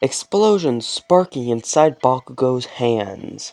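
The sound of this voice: An unforced reading voice carries the text with lively intonation.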